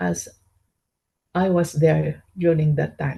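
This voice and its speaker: A woman speaks at a very slow pace in a dark, mellow tone. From Philippines, Baguio City. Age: 60s. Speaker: interviewee, grandmother. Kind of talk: interview answers. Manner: halting, with fillers.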